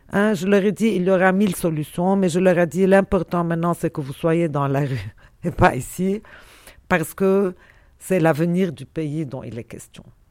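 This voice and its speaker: In an unremarkable speaking voice, a woman speaks at a fairly slow pace and fairly low pitch with ordinary pitch variation and big swings in loudness, on a very clean recording with a silent background. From Lebanon, Beirut. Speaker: university dean and historian. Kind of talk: interview.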